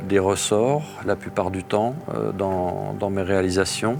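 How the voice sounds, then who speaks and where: The speech moves at a very slow pace with ordinary pitch variation. Music plays in the background, and room echo is audible. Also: man. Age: 50s. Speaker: amateur blacksmith, forest ranger. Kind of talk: documentary interview explanation. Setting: forge workshop. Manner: halting, frequent hesitations and repetitions.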